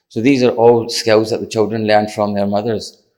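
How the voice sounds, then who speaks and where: A man's medium-pitched voice at a very fast pace, monotone and flat, on a very clean recording with a silent background. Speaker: parenting charity chief executive. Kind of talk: conference talk.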